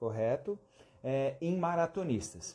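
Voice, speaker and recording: At a moderate pace, a man's somewhat breathy voice swings very widely in pitch. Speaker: physiotherapy teacher. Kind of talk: live-stream lecture. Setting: Instagram live stream.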